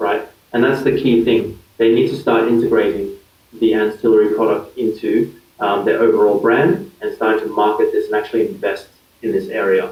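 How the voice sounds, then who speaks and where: This man speaks with an Australian accent. His pace is moderate. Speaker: digital marketing consultant. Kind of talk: interview. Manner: hesitant, many fillers.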